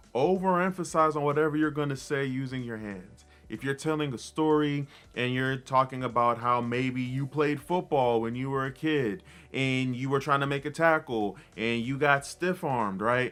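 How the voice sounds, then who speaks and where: Over music in the background, a man speaks at a moderate pace. His medium pitch varies in an ordinary way. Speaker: motivational speaker. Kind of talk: tutorial.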